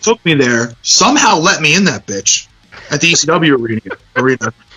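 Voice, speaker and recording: Over music in the background, a man with an American accent speaks at a fairly quick pace and a fairly high pitch, with very wide pitch swings and very even loudness. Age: 30s. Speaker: punk band singer. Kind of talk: casual chat.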